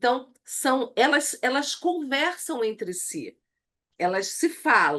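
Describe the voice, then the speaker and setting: A woman's high voice at a very slow pace over a quiet background. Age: 60s. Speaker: church women's leadership teacher. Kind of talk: online lecture.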